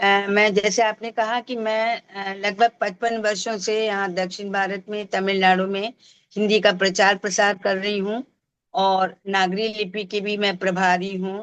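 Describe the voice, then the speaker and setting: At medium pitch, a woman speaks in a monotone, flat intonation with a Tamil accent. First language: Tamil (speaking Hindi). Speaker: Hindi professor and language promoter. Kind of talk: interview. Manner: halting, with fillers.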